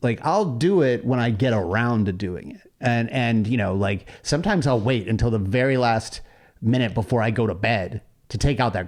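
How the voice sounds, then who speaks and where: Against a quiet background, a man uses an ordinary speaking voice at a medium pitch and moderate pace. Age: 40s. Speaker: podcast host. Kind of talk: casual chat.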